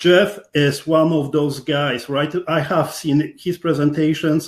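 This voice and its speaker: The speaker talks at a very slow pace in a Polish accent. The intonation is monotone and flat, and the background is quiet. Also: man, fairly high pitch for a man. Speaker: podcast host. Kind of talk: interview.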